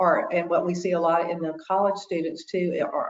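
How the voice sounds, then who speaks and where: An ordinary speaking voice talks at a moderate pace. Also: woman. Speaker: consumer protection educator. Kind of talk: webinar presentation.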